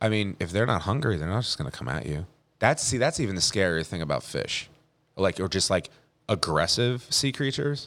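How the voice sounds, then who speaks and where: Speaking with an American accent at a fairly quick clip, this man has a fairly low pitch that swings very widely. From New Jersey (Leonardo, Monmouth County). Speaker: bartender. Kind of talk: casual chat. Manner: halting, many fillers and restarts.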